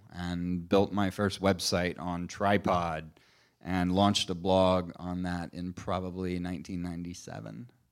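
The recording is very clean, with a silent background. In it, a man talks with an American accent. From Missouri. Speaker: interview host. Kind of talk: live interview on stage. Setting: stage with audience.

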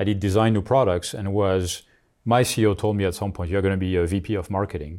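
A man with a French accent at a fairly quick pace, fairly even intonation, on a very clean recording with a silent background. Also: fairly low pitch for a man. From France. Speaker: marketing executive. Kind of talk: interview.

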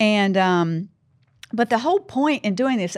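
Lively intonation in a Southern US accent, on a very clean recording with a silent background. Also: woman. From US South. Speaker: podcast host. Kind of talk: interview podcast. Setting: studio.

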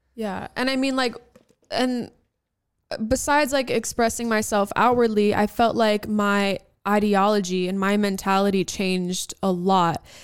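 A woman speaks at a medium pitch and a moderate pace, with ordinary pitch variation. Hers is an unremarkable speaking voice. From New York, Albanian-American family. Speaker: podcast co-host. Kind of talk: casual chat.

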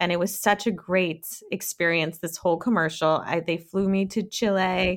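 Hardly pausing at all, a woman speaks at a moderate pace with a medium pitch. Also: fairly even intonation. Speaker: actor, producer and acupuncturist. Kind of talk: casual interview chat.

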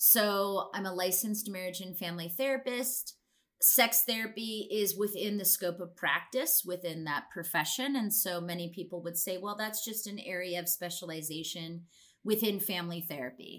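In a plain, everyday voice, a woman speaks with an American accent. Her medium pitch has ordinary pitch variation at a moderate pace. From Alaska, rural small village. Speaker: sex and relationship therapist, educator. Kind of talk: interview.

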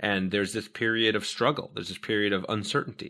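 On a very clean recording with a silent background, a man with a fairly low voice and a bright, sharp tone talks very fast in fairly even intonation. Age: 40s. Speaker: game designer. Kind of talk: casual chat.

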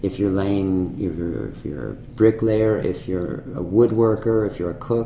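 A man with an American accent and a fairly low pitch, ordinary pitch variation and a moderate pace, amid noticeable background noise and audible room echo. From Massachusetts North Shore (Manchester). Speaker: chef. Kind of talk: interview. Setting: restaurant private room. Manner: halting, many fillers and repetitions.

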